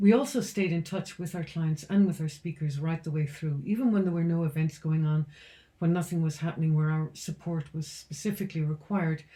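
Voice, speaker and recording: A woman's somewhat breathy, fairly low voice with a dark, mellow tone, an Irish accent, ordinary pitch variation and a fairly quick pace. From Ireland, County Roscommon. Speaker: founder of a speaker bureau. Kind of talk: business vlog talk to camera.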